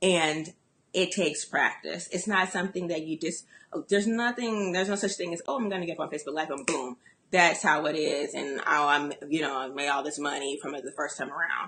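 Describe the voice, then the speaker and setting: The speaker talks at a fairly quick pace in a bright, sharp, animated tone with ordinary pitch variation. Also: woman, very deep, low pitch for a woman. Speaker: business coach. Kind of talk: motivational talk. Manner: fast.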